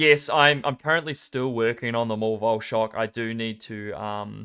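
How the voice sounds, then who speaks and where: With a New Zealand accent, the voice has a bright, sharp tone on a very clean recording with a silent background. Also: man. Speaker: esports tournament caster. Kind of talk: live game commentary and casual chat. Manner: casual, joking.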